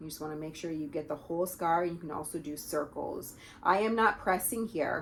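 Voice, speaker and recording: In an unremarkable speaking voice, a woman talks at a fairly low pitch and fairly quick pace, with ordinary pitch variation and big swings in loudness. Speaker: pelvic health physiotherapist. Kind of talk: tutorial.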